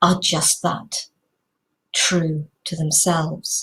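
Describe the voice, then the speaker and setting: There's a somewhat breathy quality here. It belongs to a woman. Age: 60s. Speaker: inspirational video host. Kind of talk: reflective talk to camera. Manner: casual, conversational.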